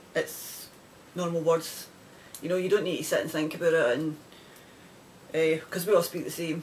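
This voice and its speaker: A woman with a Scottish accent speaks with fairly even intonation and long, frequent pauses amid noticeable background noise. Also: moderate pace. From Scotland. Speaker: knitting podcaster. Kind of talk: casual video podcast chat. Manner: rambling, conversational with many fillers.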